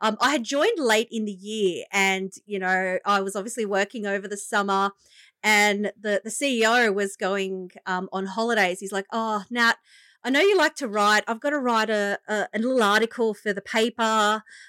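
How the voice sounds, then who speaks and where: On a very clean recording with a silent background, a woman speaks at a moderate pace in a bright, sharp tone with fairly even intonation, the sound dry and close with no echo. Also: fairly high pitch for a woman. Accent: Australian. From Australia, Illawarra (Wollongong area). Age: 30s. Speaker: leadership coach and business founder. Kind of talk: interview, personal story.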